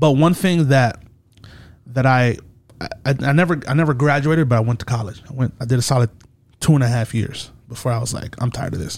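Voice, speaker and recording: A man's somewhat breathy voice at a medium pitch, with ordinary pitch variation and a fairly quick pace. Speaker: podcast host. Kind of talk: casual chat.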